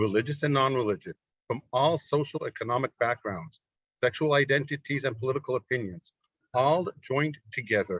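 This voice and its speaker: In an American accent, a man with an unremarkable speaking voice talks at a moderate pace with ordinary pitch variation. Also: dry, close sound with no echo. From United States. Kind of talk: formal introduction. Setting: webinar.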